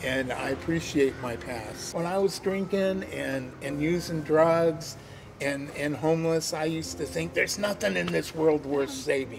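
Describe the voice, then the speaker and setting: With music in the background, a man with a fairly high pitch talks at a moderate pace, his pitch swinging very widely. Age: 60s. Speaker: formerly homeless volunteer. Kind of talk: interview testimony. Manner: halting.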